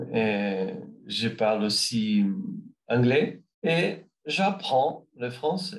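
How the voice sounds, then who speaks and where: A man's medium-pitched voice with a Brazilian accent, very slow pace, very wide pitch swings and long, frequent pauses. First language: Brazilian Portuguese (speaking French). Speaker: language learner. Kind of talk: interview answers. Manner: halting, many hesitations.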